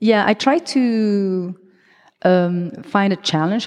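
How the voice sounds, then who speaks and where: Over a quiet background, a woman with a French accent speaks in a dark, mellow tone. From Belgium. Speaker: choreographer. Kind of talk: live interview. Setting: stage with audience.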